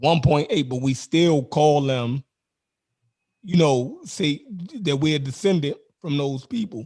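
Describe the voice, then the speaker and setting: A man with a Baltimore accent speaks at a fairly slow pace and fairly high pitch, his dark, mellow tone somewhat breathy, with ordinary pitch variation and long, frequent pauses. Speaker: online discussion host. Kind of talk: casual debate chat. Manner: halting, many fillers.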